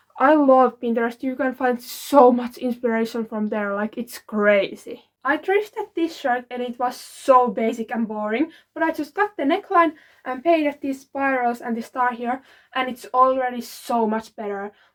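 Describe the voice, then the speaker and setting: A woman speaks in a non-native accent. Her pitch is high and her pace moderate. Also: ordinary pitch variation. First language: not English. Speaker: DIY fashion vlogger. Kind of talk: show-and-tell tutorial. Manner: casual, filler-heavy (like, um).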